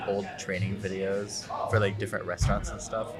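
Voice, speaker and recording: Music plays in the background as a man speaks at a moderate pace. His voice is fairly low, and there is audible room echo. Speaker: podcast host. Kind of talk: casual chat. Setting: coffee shop.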